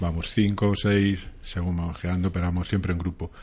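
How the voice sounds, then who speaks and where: Moving at a fairly quick pace, a man talks in a monotone, flat intonation. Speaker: motorcycle route columnist. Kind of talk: radio segment.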